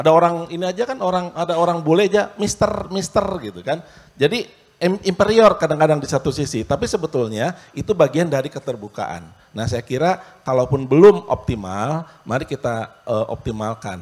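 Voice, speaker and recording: The speaker moves at a moderate pace, with very wide pitch swings. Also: man, fairly high pitch for a man. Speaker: university dean and lecturer; lecturer. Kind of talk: panel discussion at a forum. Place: stage. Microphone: handheld.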